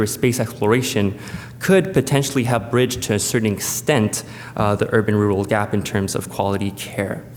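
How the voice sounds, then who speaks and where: A man's medium-pitched voice, with ordinary pitch variation, comes through with audible room echo. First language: French. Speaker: space agency presenter. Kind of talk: conference presentation. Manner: hesitant, many fillers.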